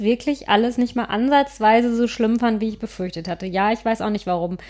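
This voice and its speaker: Against a very clean recording with a silent background, a woman uses a plain, everyday voice, fairly high in pitch with ordinary variation, at a fairly quick pace. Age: 30s. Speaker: podcast co-host on fertility. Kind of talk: casual chat.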